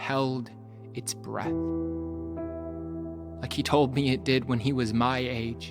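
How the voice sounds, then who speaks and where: Music plays in the background as the voice moves through very wide pitch swings. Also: man. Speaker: spoken word poet. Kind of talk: personal true story told as poem.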